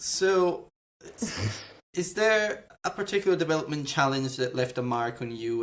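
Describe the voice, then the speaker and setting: Speaking at a moderate pace, the man lets his pitch swing very widely. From Italy. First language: Italian. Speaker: podcast host. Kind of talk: interview.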